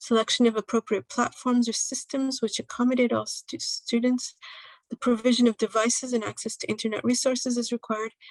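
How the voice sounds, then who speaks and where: A woman's high voice with monotone, flat intonation is heard in a dry, close sound with no echo. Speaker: presenter from an international organization. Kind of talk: conference presentation. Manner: fast.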